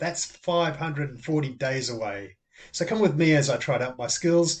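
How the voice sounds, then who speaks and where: A man with an Australian accent at a moderate pace. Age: 60s. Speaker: amateur tennis player. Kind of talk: casual talk to camera.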